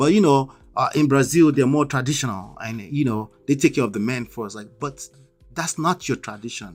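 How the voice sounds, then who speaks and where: With a strong Nigerian accent, a man speaks in an animated tone, his intonation lively and his loudness swinging widely. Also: medium pitch for a man, moderate pace. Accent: Nigerian, thick. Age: 40s. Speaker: YouTube commentator. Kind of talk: livestream commentary. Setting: live stream.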